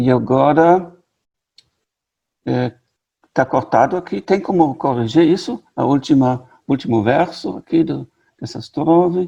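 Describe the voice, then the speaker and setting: At a fairly slow pace with long, frequent pauses, a man speaks in a dark, mellow tone with fairly high pitch and lively intonation. The sound is dry and close with no echo. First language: German (speaking Portuguese). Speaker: literature professor. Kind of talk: lecture. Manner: halting.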